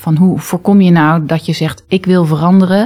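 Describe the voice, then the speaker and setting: Speaking at a moderate pace, a woman has a fairly low pitch and fairly even intonation. Her tone is dark, mellow and somewhat breathy. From international upbringing, early childhood in Indonesia. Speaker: future school leader, former English teacher. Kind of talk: interview. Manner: assertive.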